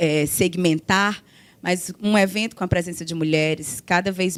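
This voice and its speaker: This is a woman speaking at a medium pitch. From Brazil, Ceará. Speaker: law professor, panelist. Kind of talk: conference panel talk.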